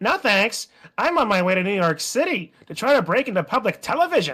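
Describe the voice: This is a put-on character voice, nasal and fairly high-pitched. It moves at a fairly quick pace with very wide pitch swings.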